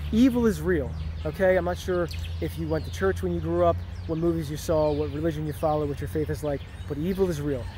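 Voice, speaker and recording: A man at a very fast pace, dry sound with no echo, light background noise. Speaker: vlogger. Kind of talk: casual vlog chat. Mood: earnest, preachy. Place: street. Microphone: phone near.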